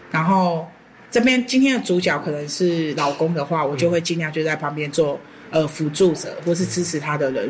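A woman with a Taiwanese accent speaks at a moderate pace with a fairly low pitch and lively intonation, over noticeable background noise. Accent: Taiwanese Mandarin. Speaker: horticultural therapist. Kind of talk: interview.

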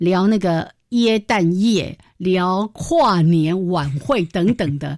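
On a very clean recording with a silent background, a woman speaks at medium pitch with lively intonation. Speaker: radio host. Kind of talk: educational radio chat. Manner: animated.

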